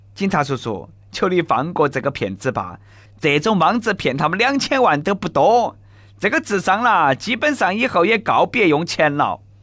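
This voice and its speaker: A very clean recording with a silent background of a man with a Sichuanese accent, his bright, sharp voice high in pitch with very wide swings. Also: moderate pace. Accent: Nanchong Sichuanese dialect. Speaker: radio host. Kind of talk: comedic news talk show. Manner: animated.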